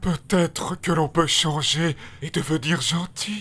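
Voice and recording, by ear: A man talks at a fairly slow pace in a cartoonish character voice with a fairly high pitch.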